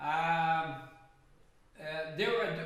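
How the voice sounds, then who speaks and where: Speaking with a Brazilian Portuguese accent, a man uses a high voice amid audible room echo. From Brazil, Rio de Janeiro. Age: 70s. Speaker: jazz pianist. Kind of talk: casual chat. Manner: halting.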